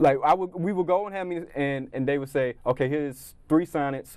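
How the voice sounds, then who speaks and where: A fairly high male voice, an ordinary speaking voice, delivered at a middling speed. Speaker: comedian and impressionist. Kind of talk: interview answer. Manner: upbeat.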